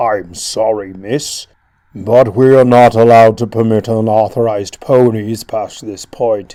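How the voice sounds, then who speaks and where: Using a put-on character voice, a man talks at a fairly slow pace and medium pitch with monotone, flat intonation. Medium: read story. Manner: polite, formal.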